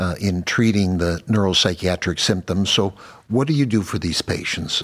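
A man with a very deep, low pitch speaks at a moderate pace with ordinary pitch variation, recorded very cleanly against a silent background. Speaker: neurologist podcast host. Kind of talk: professional interview.

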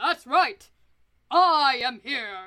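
Doing a put-on character voice, a woman speaks high in pitch with very wide pitch swings. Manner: heroic, hearty.

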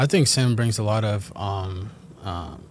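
A man with a fairly low voice speaks in a New York accent. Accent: New York area American. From New Jersey, US. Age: 20s. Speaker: professional footballer. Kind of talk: casual chat.

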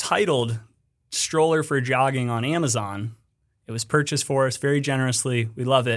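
Here a man speaks with an American accent. His pitch is medium and his pitch variation is ordinary. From Colorado. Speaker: business development director at a small boot maker. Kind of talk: casual chat.

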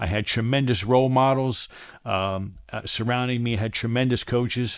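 A man with an ordinary speaking voice talks at a moderate pace and medium pitch with ordinary pitch variation on a very clean recording with a silent background. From Maryland, US (Silver Spring, near Washington DC). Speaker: podcast host and professional coach. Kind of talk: motivational monologue.

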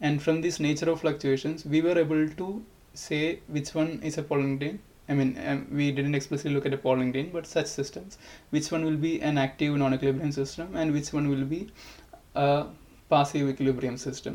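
This man's voice has a fairly high pitch and a dark, mellow tone. He talks at a fairly quick pace with fairly even intonation. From India. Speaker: physicist. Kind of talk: interview.

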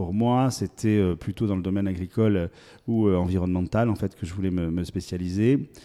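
In a very clean recording with a silent background, a man with a very deep, low pitch and a dark, mellow tone speaks at a moderate pace with ordinary pitch variation. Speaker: agricultural show organizer and local politician. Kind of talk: interview. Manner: hesitant, repeats words.

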